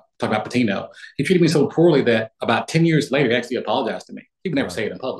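A man with an American accent, somewhat breathy, at a medium pitch and very fast pace, with lively intonation and big swings in loudness. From US South, Florida panhandle (Pensacola). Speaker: former college basketball player and financial advisor. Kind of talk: casual interview.

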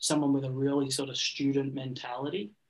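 A man with an Australian accent talks at a moderate pace and a fairly high pitch. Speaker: business coach. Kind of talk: interview conversation.

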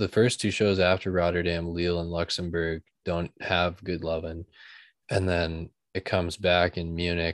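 A man speaks at a fairly slow pace in a very deep, low voice with monotone, flat intonation, recorded with a dry, close sound and no echo. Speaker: podcaster. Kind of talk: casual interview chat. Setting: video call.

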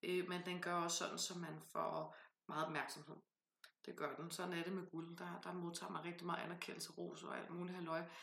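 With vocal fry and monotone, flat intonation, a woman speaks at a moderate pace amid audible room echo. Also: fairly low pitch for a woman. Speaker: podcast host, tarot reader and author. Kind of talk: casual chat.

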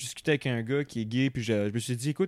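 Someone speaks very fast in a Quebec accent, with a dry, close sound with no echo and a very clean recording with a silent background. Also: man. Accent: Québécois French. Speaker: podcast co-guest, theatre person. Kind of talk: casual chat.

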